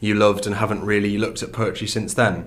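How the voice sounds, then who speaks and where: In a room with audible echo, a man speaks with a fairly low pitch. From northern England, County Durham. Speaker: student poet. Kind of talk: interview.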